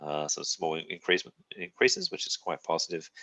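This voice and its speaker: Talking at a very fast pace, a man with an Australian accent has a bright, sharp tone. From South Australia, Adelaide. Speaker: university representative. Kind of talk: presentation to prospective students. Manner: hesitant with many fillers.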